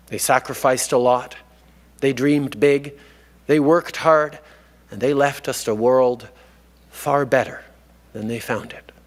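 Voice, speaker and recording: A man of medium pitch keeps his intonation fairly even, with big swings in loudness and long, frequent pauses. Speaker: prime minister giving a commencement address. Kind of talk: commencement speech to graduates.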